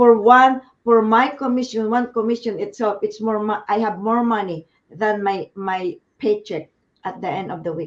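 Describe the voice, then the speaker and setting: Ordinary pitch variation and a moderate pace from a woman with a fairly high voice. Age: 60s. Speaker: business owner. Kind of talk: casual chat. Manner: halting.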